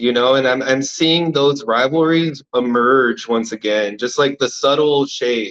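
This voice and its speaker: A man with an American accent talks in an unremarkable speaking voice at a medium pitch. His pace is fairly slow, with hardly any pauses, ordinary pitch variation and very even loudness. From California. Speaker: audience member. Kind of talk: casual discussion.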